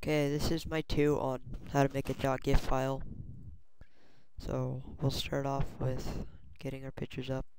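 Quiet speech moves at a moderate pace, broken by long, frequent pauses. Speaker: software tutorial maker. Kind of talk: screen-recorded software tutorial. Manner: quiet, hard to hear.

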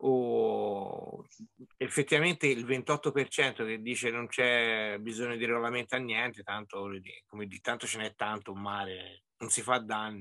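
Fairly slow and fairly even in intonation, a man's bright, sharp voice comes through over a quiet background. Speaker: angler; presenter. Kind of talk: online meeting discussion. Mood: reflective, mildly surprised. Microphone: video call.

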